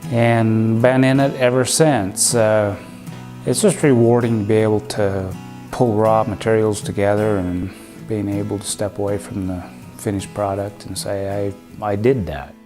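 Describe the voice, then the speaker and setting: A man with an American accent speaks at a fairly low pitch with ordinary pitch variation, music playing in the background. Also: moderate pace. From Rexburg, Idaho. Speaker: cabinetmaker. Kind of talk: documentary interview answer.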